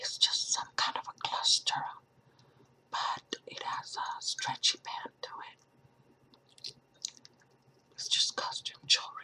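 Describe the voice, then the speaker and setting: A woman whispers at a very slow pace, with long, frequent pauses throughout. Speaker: ASMR creator. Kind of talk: ASMR whispered show and tell. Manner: whispered; chewing gum while talking.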